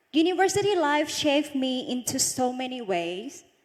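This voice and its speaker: Speaking with a Thai accent, a woman with a high pitch uses lively intonation at a fairly slow pace. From Northeast Thailand (Isan). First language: Isan (Thai dialect). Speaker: beauty pageant runner-up. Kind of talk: motivational talk.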